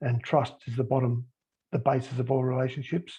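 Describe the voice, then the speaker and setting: Somewhat breathy, a man talks at a fairly quick pace with a medium pitch. He has an Australian accent. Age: 60s. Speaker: sports high performance manager, former rugby league player. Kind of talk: panel discussion on a call. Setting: group call.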